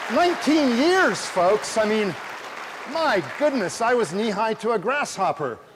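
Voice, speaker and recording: A man with an American accent talks in a high voice with very wide pitch swings. Crowd noise sounds in the background. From US West Coast, California Bay Area. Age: 60s. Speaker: astronomy professor. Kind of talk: public lecture. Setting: stage with audience. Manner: animated.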